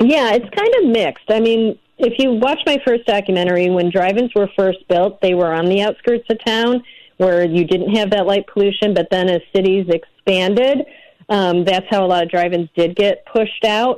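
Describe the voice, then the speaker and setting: The speaker has an ordinary speaking voice with an American accent and ordinary pitch variation. The pace is moderate and the loudness very even. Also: woman, medium pitch for a woman. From Illinois, north of Chicago. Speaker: documentary director. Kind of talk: interview.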